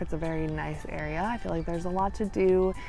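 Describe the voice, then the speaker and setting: Very fast speech comes through audible room echo with music in the background. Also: woman. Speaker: lifestyle vlogger. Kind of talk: casual talk to camera. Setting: outdoors. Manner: loud; mumbling at times.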